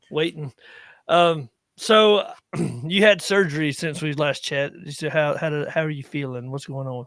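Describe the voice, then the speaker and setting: Heard on a very clean recording with a silent background, a man with a Southern US accent speaks at a moderate pace in a fairly high pitch with ordinary pitch variation. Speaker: veteran podcast host. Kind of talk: casual chat. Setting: live stream.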